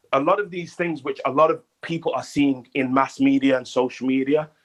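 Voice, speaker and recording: The pace here is moderate. It is a man talking with a British accent. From UK. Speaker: audio chat room participant. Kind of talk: group discussion. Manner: hesitant, many fillers.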